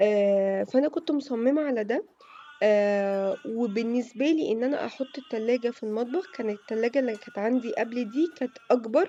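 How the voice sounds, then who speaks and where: A woman speaks with an Egyptian accent. Her pitch is high. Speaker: homemaking vlogger. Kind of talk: casual vlog chat. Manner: hesitant, many fillers.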